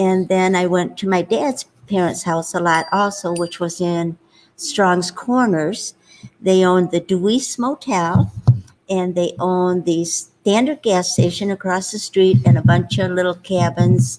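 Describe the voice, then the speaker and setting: The speaker has a Michigan accent. The pace is fairly slow. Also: woman, medium pitch for a woman, lively intonation. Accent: Upper Midwest US (Michigan). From Upper Peninsula of Michigan. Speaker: host's mother, interview guest. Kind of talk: casual interview, life story. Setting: seated at host's laptop.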